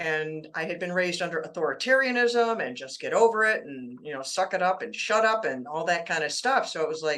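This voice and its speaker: A woman with a fairly low pitch and a bright, sharp tone talks at a moderate pace with lively intonation. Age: 60s. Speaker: author on childhood trauma. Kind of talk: interview. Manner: conversational.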